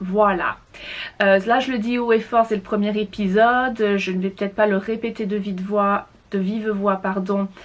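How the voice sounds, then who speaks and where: Her intonation is monotone and flat. The woman's pitch sits in the medium range. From France. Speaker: knitting podcaster. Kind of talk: casual monologue. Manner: halting, many fillers.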